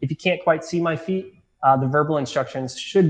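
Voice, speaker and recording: A man talks in a calm, somewhat breathy tone. His pitch varies an ordinary amount. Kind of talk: guided barefoot tutorial. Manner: calm, instructive, conversational, filler-heavy; friendly, paced step-by-step demonstration.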